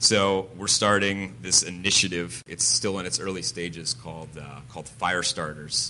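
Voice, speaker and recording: Very deep, low male voice with a bright, sharp tone and vocal fry, an American accent, moderate pace and ordinary pitch variation. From Connecticut, New England. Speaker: pastor and church planter. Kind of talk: interview testimony in church service. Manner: halting, many filler words.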